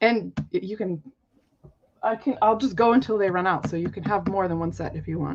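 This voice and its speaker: At a fairly quick pace, a woman talks in a medium pitch with vocal fry. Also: ordinary pitch variation. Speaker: crafter selling handmade cards. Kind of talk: live sale stream.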